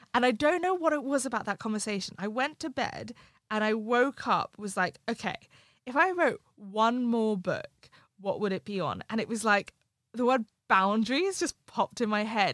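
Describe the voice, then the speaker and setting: In a dry, close recording with no echo, a woman with a high pitch speaks at a moderate pace with very wide pitch swings. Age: 20s. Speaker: life coach and writer. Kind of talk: casual interview conversation. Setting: studio, in-person recording.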